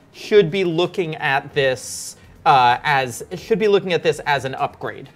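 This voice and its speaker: Over music in the background, a voice moves at a fairly slow pace with lively intonation. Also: woman, very deep, low pitch for a woman. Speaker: tech show host. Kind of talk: casual chat.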